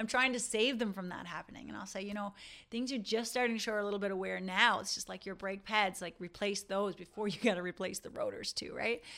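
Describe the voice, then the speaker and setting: In a very clean recording with a silent background, a woman talks very fast at a medium pitch. Her bright, sharp tone holds fairly even intonation. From Newfoundland, rural. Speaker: dentist and podcast host. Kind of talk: casual monologue to dentists.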